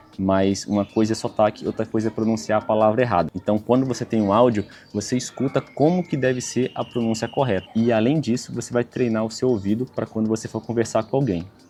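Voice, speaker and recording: Over music in the background, a man with a medium pitch talks at a fairly quick pace with hardly any pauses and ordinary pitch variation. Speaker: travel vlogger. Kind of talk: tutorial. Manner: casual.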